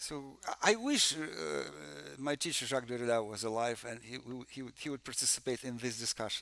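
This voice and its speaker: Speaking in a Russian accent, a man talks at a moderate pace with a medium pitch. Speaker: music theory professor. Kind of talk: conference presentation. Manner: halting, many fillers and repetitions.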